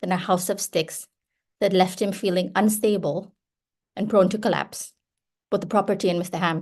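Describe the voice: The speaker does a plain reading aloud in fairly even intonation, and the background stays quiet.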